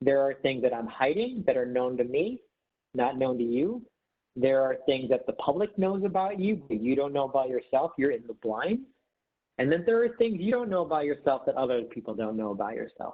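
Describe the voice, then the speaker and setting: A man with a fairly high voice talks at a fairly quick clip, his pitch swinging very widely. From Detroit, Michigan (Filipino family). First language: not English (childhood). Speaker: management trainer. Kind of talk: online workshop presentation. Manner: casual, with many fillers.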